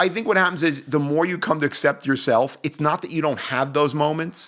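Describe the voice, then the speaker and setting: The delivery is fairly quick and animated, with ordinary pitch variation. The tone is bright and sharp. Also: man, fairly high pitch for a man. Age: 40s. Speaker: personal trainer. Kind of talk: casual chat.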